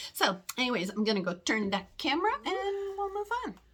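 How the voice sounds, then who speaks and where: A woman speaks with lively intonation. Noticeable background noise can be heard behind her. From Germany. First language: German. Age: 60s. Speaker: cross-stitch designer and video host. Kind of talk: casual chat to camera. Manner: casual, with repetitions and fillers.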